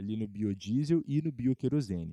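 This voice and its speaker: The man's voice has a dark, mellow tone at medium pitch, with very wide pitch swings. He keeps a moderate pace, and the sound is dry and close with no echo. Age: 20s. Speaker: podcast host, cannabis enthusiast. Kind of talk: informational monologue partly read from script. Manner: casual, with fillers and self-corrections.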